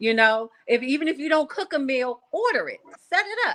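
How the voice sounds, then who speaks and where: A raised, projected voice carries the speech. The tone comes across bright and sharp. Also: woman. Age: 40s. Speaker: podcast guest. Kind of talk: casual chat.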